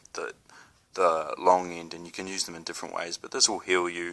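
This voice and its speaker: This is a man. He speaks with a New Zealand accent. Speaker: spiritual video blogger. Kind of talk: casual talk to camera. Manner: halting, many fillers.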